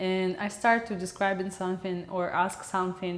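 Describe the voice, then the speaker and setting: A woman with a Russian accent talks at a fairly slow pace with a medium pitch. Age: 20s. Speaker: video blogger and film editor. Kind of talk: casual vlog monologue. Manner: halting.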